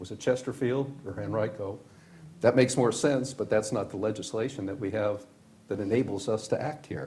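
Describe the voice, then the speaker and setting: A man with an American accent talks at a fairly quick pace. His medium-pitched voice is somewhat breathy. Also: ordinary pitch variation. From Washington, D.C. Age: 70s. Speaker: county supervisor. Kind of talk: public meeting deliberation. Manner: conversational, halting.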